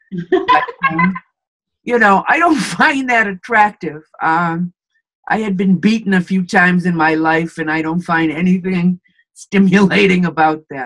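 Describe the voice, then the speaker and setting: A woman's plain, everyday voice at medium pitch, moderate pace and ordinary pitch variation. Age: 60s. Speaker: interviewee in couple interview. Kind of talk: interview.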